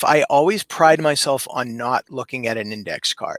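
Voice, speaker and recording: The recording is dry and close with no echo, capturing a man with an ordinary speaking voice at medium pitch and ordinary pitch variation. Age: 50s. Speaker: professional wrestling ring announcer. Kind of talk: podcast interview answer, casual conversational storytelling.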